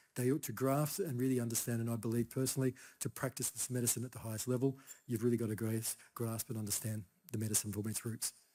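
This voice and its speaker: Someone with an Australian accent speaks very fast in a dark, mellow tone with fairly even intonation. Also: man, medium pitch for a man. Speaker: Chinese herbal medicine practitioner. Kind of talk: conference talk. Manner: soft-spoken; casual, halting.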